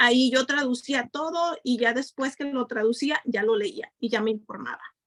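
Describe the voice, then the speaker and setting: A woman's high voice with a Mexican accent and ordinary pitch variation, in a dry, close sound with no echo. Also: moderate pace. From Mexico, Nayarit. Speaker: community member. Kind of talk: panel discussion.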